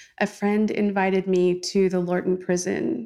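In a very clean recording with a silent background, a woman speaks fairly slowly with an American accent. Hers is an unremarkable speaking voice at a medium pitch. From California. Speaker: visual artist. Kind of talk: interview. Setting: artist's studio.

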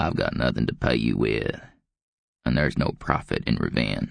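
In a put-on character voice, a man speaks at a fairly slow pace with an extremely low, croaky pitch full of vocal fry. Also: ordinary pitch variation.

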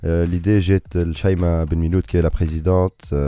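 A man with a very deep, low voice is heard over noticeable background noise. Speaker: diaspora association representative. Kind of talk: radio interview. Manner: halting.

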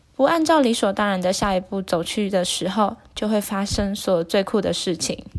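A woman has a plain, everyday voice, medium in pitch, with lively intonation, a moderate pace and hardly any pauses. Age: 20s. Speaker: book summary channel host. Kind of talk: book summary narration.

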